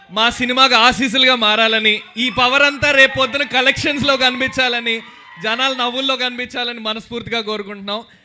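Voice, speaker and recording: Over noticeable background noise, a man speaks in a monotone, flat way at an extremely high pitch. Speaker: film actor. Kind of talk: speech at film trailer launch event. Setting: auditorium with live crowd.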